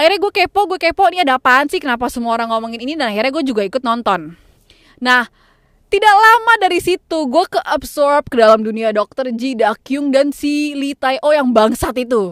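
Her pitch is high, and it swings very widely. The woman talks at a fairly quick pace, with a dry, close sound and no echo. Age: 20s. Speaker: podcaster. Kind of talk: casual monologue. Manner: code-switching English and Indonesian.

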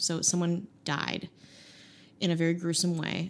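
A woman's fairly low-pitched voice, an unremarkable speaking voice, at a moderate pace. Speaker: podcast co-host. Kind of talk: comedic banter.

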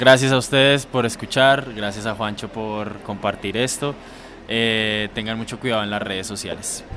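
Music plays behind a man speaking at a moderate pace. His pitch is medium and his intonation fairly even. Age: 20s. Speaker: friend of the host. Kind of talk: casual chat. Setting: outdoors, drinking beer with friends.

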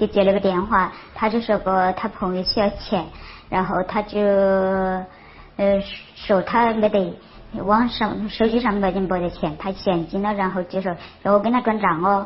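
Somewhat breathy and fairly slow, a woman speaks with a Sichuan accent in a monotone, flat intonation. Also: medium pitch for a woman. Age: 40s. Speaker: crime victim. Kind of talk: testimony. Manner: halting.

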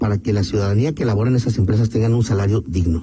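Over noticeable background noise, a man at medium pitch talks at a very fast pace. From Mexico, León, Guanajuato. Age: 50s. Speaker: political candidate. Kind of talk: radio interview.

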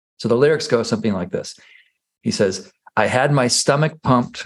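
A man in a plain, everyday voice talks at a moderate pace and medium pitch, with ordinary pitch variation over a quiet background. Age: 40s. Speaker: podcast host and yoga teacher. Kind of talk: casual interview conversation.

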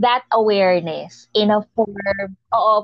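With music playing behind her, a woman talks very slowly. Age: 30s. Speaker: podcast host. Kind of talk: casual interview.

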